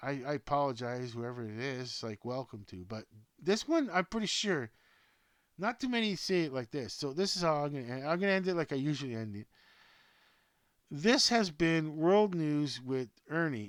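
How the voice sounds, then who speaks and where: Male voice, fairly high, with very wide pitch swings at a moderate pace, on a very clean recording with a silent background. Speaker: sports news vlogger. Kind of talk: casual monologue to webcam. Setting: home webcam recording. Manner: low energy, halting.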